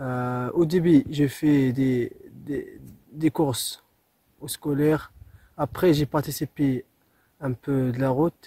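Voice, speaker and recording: Somewhat breathy with a dark, mellow tone, a man speaks at a very slow pace in a fairly high pitch, his intonation fairly even and broken by long, frequent pauses, in a dry, close sound with no echo. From southern Morocco. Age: 20s. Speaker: ultramarathon runner. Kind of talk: testimony.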